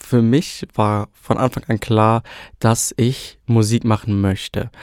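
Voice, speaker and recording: Talking very slowly, a man at medium pitch keeps his intonation fairly even, in a very clean recording with a silent background and a dry, close sound with no echo. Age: 20s. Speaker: trainee and amateur singer. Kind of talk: casual chat.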